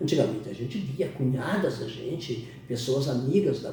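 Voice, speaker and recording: Moderate-paced speech from a man, with noticeable background noise and audible room echo. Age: 60s. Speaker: interviewer. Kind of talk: interview.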